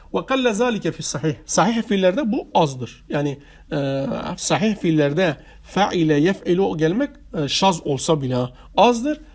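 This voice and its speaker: A man at a high pitch, fairly slow in pace, with very wide pitch swings. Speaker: religious studies teacher. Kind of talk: lecture. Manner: halting.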